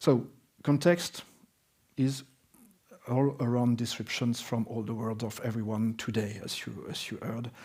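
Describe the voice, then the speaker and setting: A man's medium-pitched voice with a French accent, at a fairly slow pace. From France, Alsace. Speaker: business consultant. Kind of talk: conference presentation. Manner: halting, many fillers.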